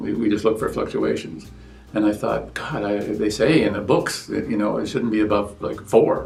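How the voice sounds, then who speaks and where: The speech moves at a fairly quick pace with audible room echo. Music plays in the background. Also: man. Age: 70s. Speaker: patient. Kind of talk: interview testimony. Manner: halting, with many fillers and restarts.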